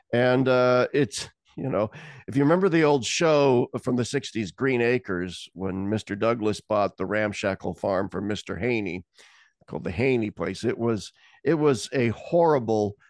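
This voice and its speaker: Against a quiet background and with a dry, close sound and no echo, a man with an American accent speaks in a plain, everyday voice at a medium pitch and moderate pace, his intonation lively. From Nebraska. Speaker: theologian. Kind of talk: casual chat.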